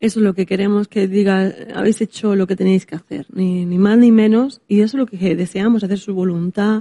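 Her voice has a dark, mellow tone at a medium pitch with fairly even intonation. The woman's sound is dry and close, with no echo. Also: fairly quick pace. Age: 40s. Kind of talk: casual chat.

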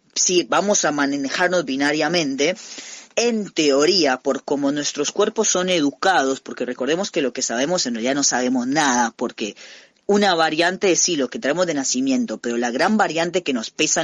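At a moderate pace, a man with lively intonation and a fairly high pitch talks in a plain, everyday voice. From Costa Rica. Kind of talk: interview.

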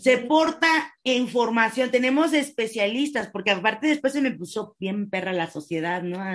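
A woman speaks at a moderate pace. Her fairly high voice has lively intonation. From Mexico. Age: 30s. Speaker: dance instructor and rehabilitation therapist, wheelchair user. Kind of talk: interview. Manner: halting.

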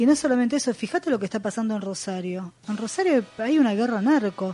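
Speaking very fast with a Rioplatense accent, a woman uses a fairly high, somewhat breathy voice with a dark, mellow tone and lively intonation. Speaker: radio host. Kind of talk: casual chat.

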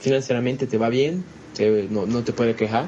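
Very fast speech from a man of medium pitch with a Portuguese accent, fairly even intonation and noticeable background noise. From Brazil. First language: Portuguese (speaking Spanish). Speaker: business consultant. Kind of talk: interview. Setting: at the guest's home.

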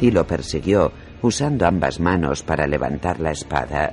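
Music plays behind a man with a very deep, low pitch. He talks at a moderate pace with lively intonation. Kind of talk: audiobook narration, reading a fantasy novel aloud. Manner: narrative reading, shifting tone for each character's dialogue.

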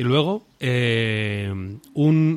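A man is talking. His voice has a medium pitch. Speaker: podcast co-host. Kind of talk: casual chat; improvised sketch interview.

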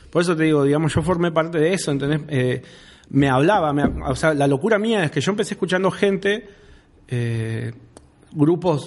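At a fairly quick pace, a man with a fairly high pitch speaks with ordinary pitch variation. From Rawson, Argentina. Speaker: rapper. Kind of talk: casual chat. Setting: studio.

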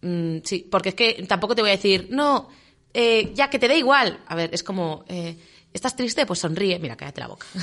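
Over a quiet background, a woman with a medium pitch speaks with big swings in loudness. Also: lively intonation. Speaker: radio co-host. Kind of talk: casual chat. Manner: fast.

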